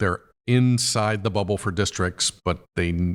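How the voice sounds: A man speaks in a raspy, low voice with fairly even intonation. The recording is very clean, with a silent background.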